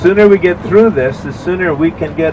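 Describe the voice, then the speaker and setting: The speaker is a man. Behind him, background noise is noticeable. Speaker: tour guide. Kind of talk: tour guide announcement. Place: bus.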